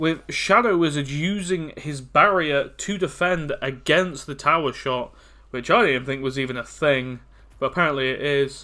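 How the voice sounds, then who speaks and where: A man with a fairly high pitch and a bright, sharp tone speaks at a moderate pace. His pitch varies in an ordinary way, and the recording is very clean with a silent background. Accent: British. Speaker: esports caster. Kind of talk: live game commentary.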